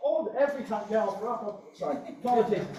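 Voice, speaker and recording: In a room with audible echo and noticeable background noise, a man talks at a moderate pace. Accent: Northern Irish. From Northern Ireland. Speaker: activist speaking from the floor. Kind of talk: impassioned floor speech at meeting. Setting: meeting hall with audience, single microphone. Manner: animated.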